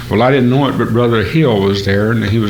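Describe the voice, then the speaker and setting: Audible room echo and noticeable background noise surround a man of medium pitch using fairly even intonation. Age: 60s. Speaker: gospel singer. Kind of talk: testimony. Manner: halting.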